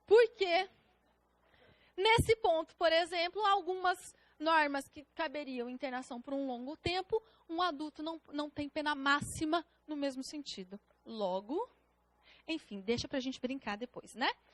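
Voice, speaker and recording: A woman's high voice with very wide pitch swings, big swings in loudness and long, frequent pauses, in a dry, close sound with no echo. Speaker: public defender teaching a prep course. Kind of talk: lecture.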